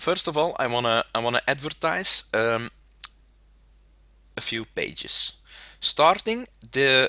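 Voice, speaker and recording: In a very clean recording with a silent background, a bright, sharp voice moves at a fairly slow pace with very wide pitch swings and long, frequent pauses. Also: man, fairly high pitch for a man, dry, close sound with no echo. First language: not English. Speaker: gaming content creator. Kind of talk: casual video talk to webcam. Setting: home webcam recording. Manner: halting, many fillers.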